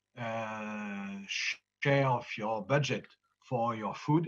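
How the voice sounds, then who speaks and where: With a French accent, a man speaks with ordinary pitch variation. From France, Normandy. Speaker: farmer and farm union leader. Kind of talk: conference presentation. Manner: halting, many hesitations.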